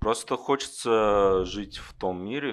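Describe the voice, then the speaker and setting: Against a quiet background, a man speaks fairly slowly in an ordinary speaking voice, his pitch fairly low. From Kovrov, Russia. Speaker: IT worker, audience member. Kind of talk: interview on stage. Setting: bar stage with live audience.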